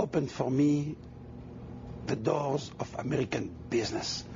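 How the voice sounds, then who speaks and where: With a French accent, a man speaks at a moderate pace, leaving long, frequent pauses over noticeable background noise. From Tunisia and France. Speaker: mayoral candidate. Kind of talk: TV interview.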